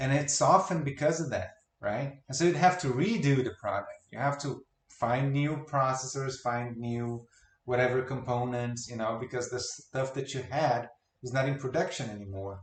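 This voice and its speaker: A man with a non-native accent speaks at a moderate pace in a medium-pitched, somewhat breathy voice with ordinary pitch variation. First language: not English. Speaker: video game commentary youtuber. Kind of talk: reaction commentary.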